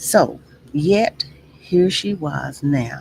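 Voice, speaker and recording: A woman talks with a Texas accent and ordinary pitch variation. Noticeable background noise runs behind her. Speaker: livestream host. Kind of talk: reading aloud with commentary. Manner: deliberate, self-correcting reading.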